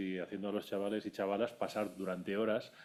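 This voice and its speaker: The man talks in a fairly low pitch. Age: 60s. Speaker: audience member, industrial engineer. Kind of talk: audience question.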